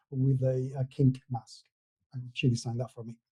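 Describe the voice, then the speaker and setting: Somewhat breathy man with a dark, mellow tone at a moderate pace. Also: dry, close sound with no echo. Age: 50s. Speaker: tabletop gaming podcaster and blogger. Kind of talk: interview. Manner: hesitant, many fillers.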